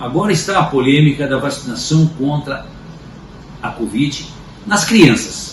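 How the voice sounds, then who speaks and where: There is noticeable background noise. A man speaks at a fairly slow pace with a fairly high pitch. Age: 60s. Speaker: commentator. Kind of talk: opinion commentary.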